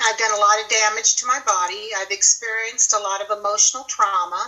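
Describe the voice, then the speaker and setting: A woman with a fairly high pitch speaks very fast in a fairly even intonation, with noticeable background noise behind her. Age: 60s. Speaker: guest sharing carnivore diet experience. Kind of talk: testimony.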